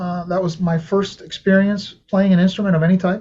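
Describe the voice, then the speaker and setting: Speaking in a Spanish accent, a man keeps a high pitch, a moderate pace and a monotone, flat intonation. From Venezuela. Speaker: saxophonist. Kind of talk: interview. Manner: casual, conversational.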